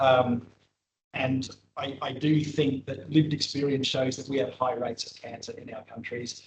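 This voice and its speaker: This man has an Australian accent and a medium pitch. He talks at a moderate pace. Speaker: cancer epidemiology researcher. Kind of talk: lecture. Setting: seminar room with in-person and online audience. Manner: hesitant, with frequent fillers.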